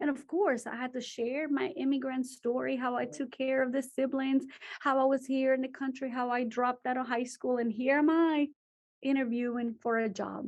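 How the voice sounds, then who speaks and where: A woman speaks with a Spanish accent in a high voice. Her pace is moderate and her intonation fairly even. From Guatemala. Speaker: teacher. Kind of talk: talk to students. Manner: switches between English and Spanish.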